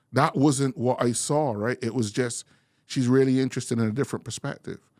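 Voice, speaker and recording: A man with a strong Bajan accent talks at a moderate pace and medium pitch. The recording is very clean, with a silent background. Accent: heavy Bajan. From Barbados (born in England). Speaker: interview guest, bank career professional. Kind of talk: interview conversation.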